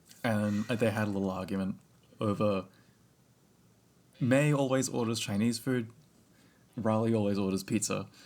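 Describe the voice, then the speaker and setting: A man with an Australian accent, ordinary pitch variation, and long, frequent pauses. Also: fairly low pitch for a man, moderate pace. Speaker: podcast co-host. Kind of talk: casual chat.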